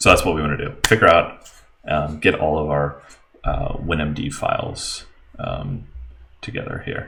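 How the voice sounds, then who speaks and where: A man speaks at a moderate pace, leaving long, frequent pauses. Room echo is audible. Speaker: software developer streaming live coding. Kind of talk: live coding stream tutorial. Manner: hesitant, many fillers.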